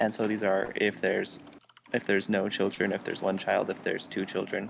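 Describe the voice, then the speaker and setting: A soft-spoken man talks at a fairly quick pace. His voice sits fairly low, with fairly even intonation. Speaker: student. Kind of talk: casual chat. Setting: library. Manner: halting.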